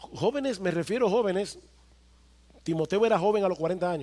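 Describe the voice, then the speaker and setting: A high-pitched man talking very fast, with ordinary pitch variation. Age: 50s. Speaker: pastor. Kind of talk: sermon.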